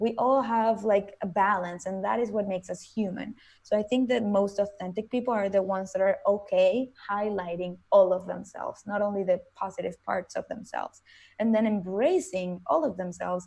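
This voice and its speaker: A woman speaks with a Venezuelan accent. Her pitch is medium and her pace moderate. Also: ordinary pitch variation. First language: Spanish. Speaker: motivational speaker. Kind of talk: interview.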